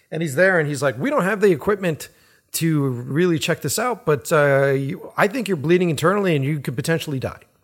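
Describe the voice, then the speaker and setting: An unremarkable speaking voice with lively intonation at a fairly quick pace, in a very clean recording with a silent background. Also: man, fairly high pitch for a man. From Boston. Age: 40s. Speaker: podcast host, filmmaker. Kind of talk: casual chat. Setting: home recording.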